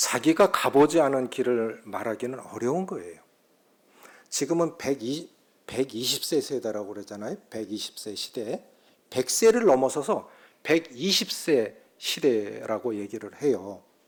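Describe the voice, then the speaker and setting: In an unremarkable speaking voice, a man talks at a fairly slow pace and medium pitch, with lively intonation and big swings in loudness. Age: 60s. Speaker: pastor. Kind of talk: sermon.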